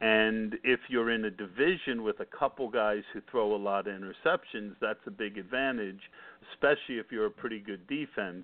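This is an unremarkable speaking voice. It keeps a moderate pace and ordinary pitch variation. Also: man, medium pitch for a man. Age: 50s. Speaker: fantasy football podcast host. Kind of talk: casual chat.

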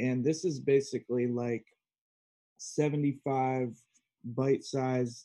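A man's medium-pitched voice with an American accent and monotone, flat intonation. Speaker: conscious media creator and musician. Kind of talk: casual chat. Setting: video call.

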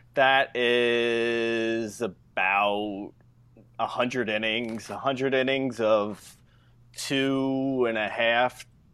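A man speaks with a New Jersey accent. The recording is very clean, with a silent background. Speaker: fantasy baseball podcast host. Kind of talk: casual chat.

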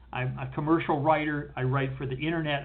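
An ordinary speaking voice comes from a man with a fairly high pitch who talks at a moderate pace. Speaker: podcast host, producer and poet. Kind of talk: casual chat. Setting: video call.

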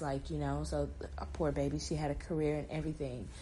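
Moderately paced female speech, with room echo clearly audible. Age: 20s. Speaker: podcast host. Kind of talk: solo podcast monologue.

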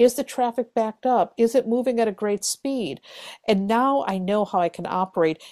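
An ordinary speaking voice at a moderate pace, on a very clean recording with a silent background and a dry, close sound with no echo. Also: woman. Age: 50s. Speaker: tarot reader and astrologer. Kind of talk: casual interview.

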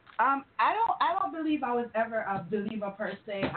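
A woman speaks at a fairly high pitch with lively intonation. Background noise is noticeable. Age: 30s. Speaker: IT specialist and self-described sex expert. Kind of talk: call-in radio discussion. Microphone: connection breaking up.

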